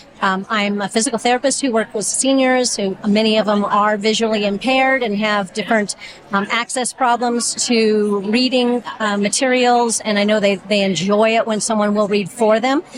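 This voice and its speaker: A woman's fairly high-pitched voice, fairly even in intonation, with hardly any pauses and noticeable background noise. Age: 60s. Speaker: physical therapist, volunteer reader. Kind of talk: interview.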